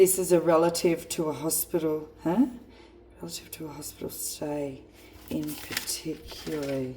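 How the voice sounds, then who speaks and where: With a strong Australian accent, a woman speaks at a moderate pace in a very deep, low pitch and fairly even intonation. Her loudness swings widely over noticeable background noise. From rural Australia. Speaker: spiritual card reader. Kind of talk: psychic card reading monologue. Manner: halting.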